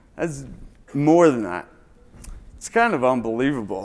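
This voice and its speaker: The speaker is a man. His pitch is fairly high. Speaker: keynote speaker, brain injury survivor. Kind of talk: keynote speech. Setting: conference stage with audience. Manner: stumbling, halting.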